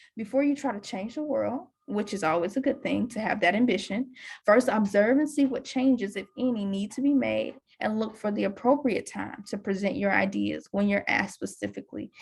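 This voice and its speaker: Talking at a fairly quick pace, a woman uses ordinary pitch variation at a fairly high pitch, with vocal fry. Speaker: university career advisor. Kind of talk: presentation. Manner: fast.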